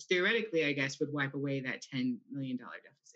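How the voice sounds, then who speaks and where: A woman speaks with a very deep, low pitch. The background is quiet. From California, Central Valley (Hanford); California. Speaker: school board candidate; candidate. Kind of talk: candidate forum statements and answers. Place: home room. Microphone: video call.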